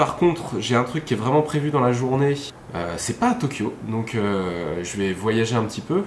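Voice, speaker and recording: With lively intonation, a man talks at a moderate pace and a medium pitch. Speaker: vlogger. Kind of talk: casual vlog talk. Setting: outdoors evening walk.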